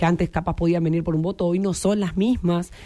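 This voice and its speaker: A woman speaks at a fairly low pitch. Music plays in the background. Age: 30s. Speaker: local government official. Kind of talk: radio interview. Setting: radio studio.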